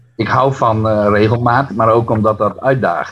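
This man has a plain, everyday voice, fairly low in pitch. His pitch varies in an ordinary way. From Netherlands, Friesland near Harlingen. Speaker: poet. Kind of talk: interview and poetry reading.

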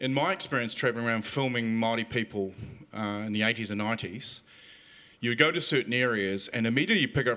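In a New Zealand accent, a man speaks at a fairly quick pace with a bright, sharp tone and medium pitch, ordinary pitch variation, and a very clean recording with a silent background. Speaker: audience member. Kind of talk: question from audience. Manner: halting.

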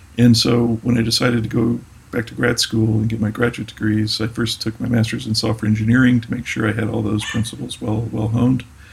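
A man speaks at a fairly quick pace in a monotone, flat intonation. Noticeable background noise runs beneath him. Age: 50s. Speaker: technology executive. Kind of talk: interview. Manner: hesitant, many fillers.

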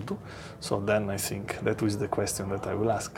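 Against noticeable background noise, a man with an Italian accent speaks at a fairly low pitch. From Italy. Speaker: company executive. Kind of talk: interview.

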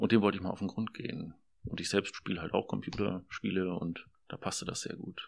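The speech comes at a fairly quick pace, with monotone, flat intonation. Vocal fry runs through the voice. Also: man, very deep, low pitch for a man. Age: 40s. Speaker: social work student. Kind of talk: interview.

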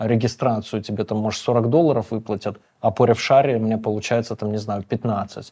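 Against a quiet background, a man speaks at a medium pitch in a dark, mellow tone. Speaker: podcast host. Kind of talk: interview. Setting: studio.

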